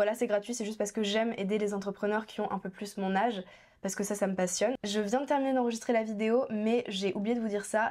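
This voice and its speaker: In a very clean recording with a silent background, a woman with a fairly high pitch talks at a fairly quick pace. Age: 20s. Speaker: young entrepreneur and YouTuber. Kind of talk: vlog monologue. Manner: fast; animated.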